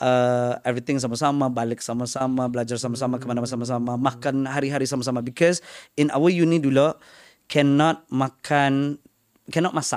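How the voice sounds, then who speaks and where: A man talks at a very fast pace with a Malaysian accent. His intonation stays fairly even. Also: medium pitch for a man. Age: 30s. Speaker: stand-up comedian. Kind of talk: casual interview chat mixing English and Malay.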